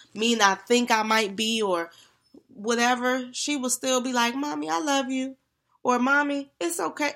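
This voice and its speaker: On a very clean recording with a silent background, a woman talks in an ordinary speaking voice at a fairly high pitch with ordinary pitch variation. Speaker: sister guest. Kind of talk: casual chat.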